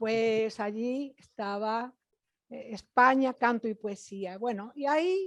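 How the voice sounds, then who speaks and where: A woman speaks very slowly in a fairly high voice with ordinary pitch variation. Her loudness swings widely. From Spain, Galicia. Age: 80s+. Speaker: singer and music teacher. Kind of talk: interview. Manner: halting.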